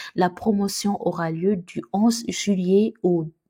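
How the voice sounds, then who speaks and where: In a Senegalese accent, a woman speaks at medium pitch with a dark, mellow tone. Her voice is somewhat breathy and her intonation fairly even. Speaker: YouTuber on Canada immigration. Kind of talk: casual video announcement. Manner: hesitant, many fillers.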